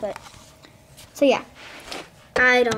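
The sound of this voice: A woman's fairly high pitch with little pitch movement, at a fairly slow pace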